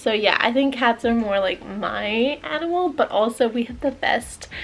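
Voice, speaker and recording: A woman's fairly high, relaxed voice at a fairly slow pace, with ordinary pitch variation and noticeable background noise. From Canada until age 11, then Australia. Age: 20s. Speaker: lifestyle vlogger. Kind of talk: casual chat. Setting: at home. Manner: relaxed, chatty.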